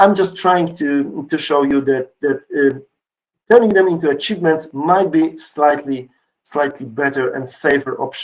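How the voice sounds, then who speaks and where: A man with a fairly high voice talks at a moderate speed, his pitch varying in an ordinary way. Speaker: conference speaker. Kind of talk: conference talk. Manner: energetic.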